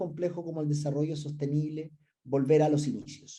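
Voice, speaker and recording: The tone is dark and mellow. A man talks at a moderate pace. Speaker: research director and business school professor. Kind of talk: conference presentation. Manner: some hesitations and filler sounds.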